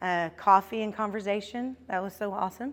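A woman with a normal speaking voice talks at a moderate pace and a fairly high pitch, with ordinary pitch variation. The recording is very clean, with a silent background. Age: 50s. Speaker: devotional speaker. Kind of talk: devotional talk.

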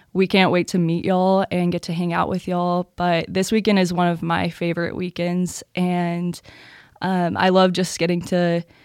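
Her pitch fairly low, a woman speaks in a flat monotone. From Texas (Louisville). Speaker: college student, scholarship recipient. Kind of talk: casual chat. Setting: studio.

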